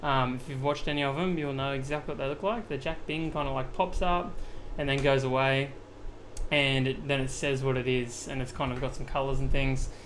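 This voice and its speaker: The speaker has an Australian accent and a fairly quick pace. Intonation stays fairly even, with audible room echo. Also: man, fairly high pitch for a man. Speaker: video editing streamer. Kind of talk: live-streamed tutorial. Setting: live stream. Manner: casual, filler-heavy.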